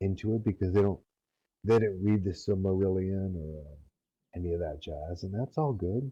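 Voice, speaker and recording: Long, frequent pauses break up the speech of a man with a very deep, low pitch. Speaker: roleplay community leader. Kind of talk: lecture. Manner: slow; hesitant, many fillers.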